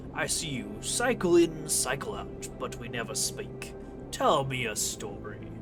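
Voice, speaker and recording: Against loud music in the background, a man uses a booming put-on character voice at a fairly slow pace. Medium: solo performance. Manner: warm, friendly.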